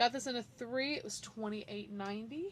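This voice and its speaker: A woman speaks with ordinary pitch variation. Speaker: fashion haul vlogger. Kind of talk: clothing haul video. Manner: animated.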